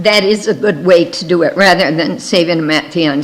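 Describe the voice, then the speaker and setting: Behind a woman speaking at a moderate tempo, there is noticeable background noise. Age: 70s. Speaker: missionary. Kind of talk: missionary presentation.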